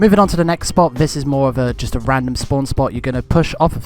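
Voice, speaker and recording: There is noticeable background noise behind a man speaking with ordinary pitch variation. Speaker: gaming tutorial creator. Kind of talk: game tutorial voiceover.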